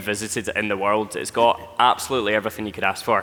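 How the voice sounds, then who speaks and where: The man's delivery is very fast. Behind him, music is playing. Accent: strong Scottish. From Scotland. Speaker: travel content creator. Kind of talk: live presentation.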